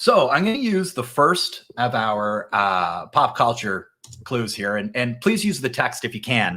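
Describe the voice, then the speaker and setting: Very wide pitch swings in an American accent, at a fairly slow pace. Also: man, medium pitch for a man. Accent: nor'easter. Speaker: cybersecurity company executive. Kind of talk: business presentation. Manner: casual, with many fillers.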